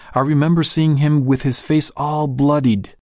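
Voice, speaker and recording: Fairly high in pitch, a man's unremarkable speaking voice moves at a moderate pace on a very clean recording with a silent background. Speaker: narrator reading a magazine article. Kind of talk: reading aloud. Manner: formal.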